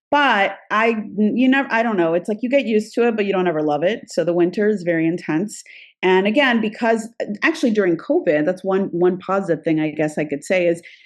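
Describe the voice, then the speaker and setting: A woman talks at a fairly quick pace in a normal speaking voice, medium in pitch with lively intonation. The background is quiet. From Florida, US (born in Peru). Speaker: immigration attorney. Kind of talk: interview.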